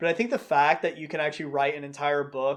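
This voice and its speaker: A man talks with a Southern US accent. His pitch sits fairly high. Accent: Southern US accent noticeable. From North Carolina (Concord, near Charlotte). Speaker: pastor. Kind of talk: video commentary / Bible teaching. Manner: casual, conversational.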